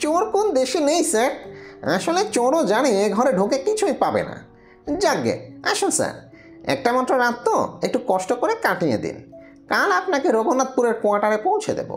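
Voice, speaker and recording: A high-pitched, put-on character voice swings very widely in pitch at a moderate pace. Clear music plays in the background. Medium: read story. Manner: deferential, keeps saying "sir".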